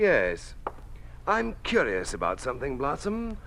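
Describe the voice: Putting on a character voice, a man speaks fairly slowly with vocal fry, a fairly bright tone and very wide pitch swings. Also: medium pitch for a man.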